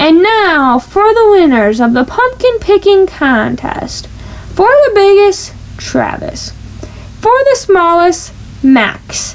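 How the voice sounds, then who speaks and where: A woman does a put-on character voice at an extremely high pitch, with very wide pitch swings, a fairly slow pace and very even loudness over clear background noise. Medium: read story. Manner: warm, patient.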